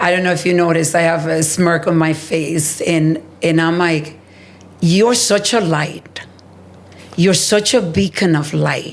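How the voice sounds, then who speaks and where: Fairly low in pitch, a woman talks at a fairly slow pace with fairly even intonation and very even loudness, with audible room echo. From Dominican Republic. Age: 60s. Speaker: healthcare executive and advocate. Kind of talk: interview conversation.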